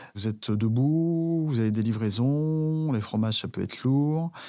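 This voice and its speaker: Speaking at a very slow pace, a man uses lively intonation in a dark, mellow tone. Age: 40s. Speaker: former sports journalist turned cheesemonger. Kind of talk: personal testimony.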